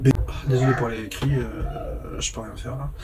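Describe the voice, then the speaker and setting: A male speaker comes through with noticeable background noise and audible room echo. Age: 30s. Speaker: vlogger, phone repairer. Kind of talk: casual monologue vlog.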